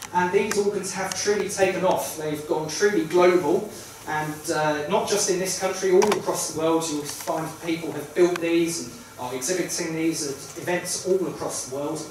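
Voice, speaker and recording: Strong room echo and noticeable background noise surround a man with a high pitch. He speaks at a moderate pace with fairly even intonation. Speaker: event host. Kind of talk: public announcement to audience. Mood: warm, festive welcome. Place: hall.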